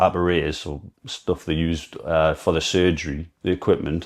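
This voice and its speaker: A man with a Geordie accent talks in a very deep, low pitch with fairly even intonation. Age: 30s. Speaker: amateur runner and brain cancer patient. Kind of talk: personal testimony vlog. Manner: halting.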